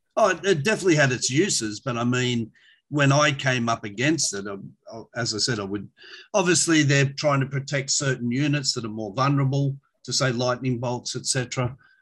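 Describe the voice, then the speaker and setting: With an Australian accent, a man speaks at a moderate pace and medium pitch, with ordinary pitch variation. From Sydney, Australia. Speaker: tabletop wargame champion. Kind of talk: casual chat.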